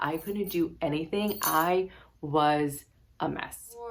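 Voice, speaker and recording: A woman's fairly low voice at a very slow pace, fairly even intonation, noticeable background noise. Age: 30s. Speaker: spiritual vlogger and yoga teacher. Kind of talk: casual vlog monologue. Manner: casual, filler-heavy speech.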